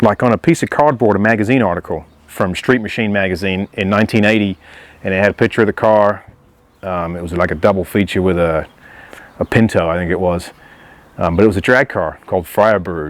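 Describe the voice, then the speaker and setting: With an American accent, a man talks at a fairly quick pace. His fairly low pitch shows ordinary variation. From England. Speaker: classic car owner. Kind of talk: interview monologue about his car. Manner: casual, with frequent fillers.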